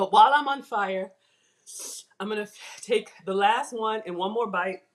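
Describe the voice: Someone performs a put-on character voice that is breathy and fairly high-pitched, moving at a moderate pace.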